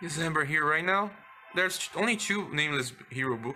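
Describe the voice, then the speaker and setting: The speech moves at a moderate pace with lively intonation, set against noticeable background noise. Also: man. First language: not English. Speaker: gaming youtuber. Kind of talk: game tutorial. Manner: halting.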